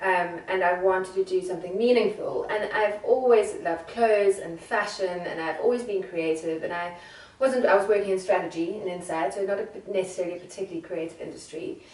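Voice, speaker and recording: Fairly quick speech from a woman with a South African accent, medium pitch and ordinary pitch variation, over noticeable background noise with audible room echo. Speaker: secondhand fashion entrepreneur. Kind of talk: interview.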